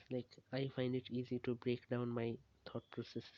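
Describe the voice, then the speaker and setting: Speaking at a moderate pace, a man with a medium pitch keeps a monotone, flat intonation. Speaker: student annotating data for machine learning. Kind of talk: casual monologue. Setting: at home, parents nearby. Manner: halting, with stutters and pauses.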